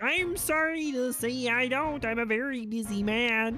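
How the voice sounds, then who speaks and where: A put-on character voice, female-sounding and high-pitched, at a moderate pace over clear background noise. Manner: imitation, put-on.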